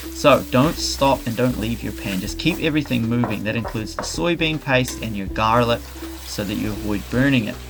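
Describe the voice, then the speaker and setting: Over music in the background, a man speaks at a fairly quick pace. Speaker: cooking youtuber. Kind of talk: tutorial.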